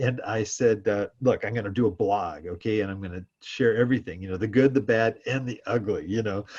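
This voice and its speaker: Speaking in an American accent, a man has a fairly low pitch and ordinary pitch variation. He moves at a fairly quick pace and sounds somewhat breathy. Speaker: real estate investor. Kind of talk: interview. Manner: halting.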